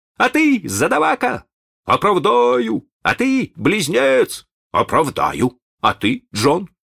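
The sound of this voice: A man puts on a character voice, high for a man and fairly bright, with vocal fry, very wide pitch swings and a slow pace, in a very clean, dry, close recording with no echo and a silent background.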